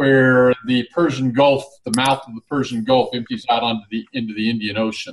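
His is an unremarkable speaking voice, fairly high for a man, with ordinary pitch variation. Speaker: Bible teacher co-host. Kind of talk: casual online Bible discussion.

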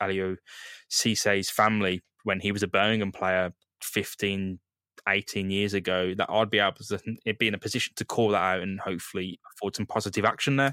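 A man speaks at a moderate pace in a low voice with little pitch movement, his bright, sharp tone captured in a dry, close sound with no echo.

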